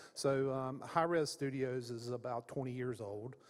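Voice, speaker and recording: The speaker talks at a moderate pace in a Southern US accent. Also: man. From Florida, US South. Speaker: games industry executive, panelist. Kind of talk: conference panel discussion. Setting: stage with audience at conference.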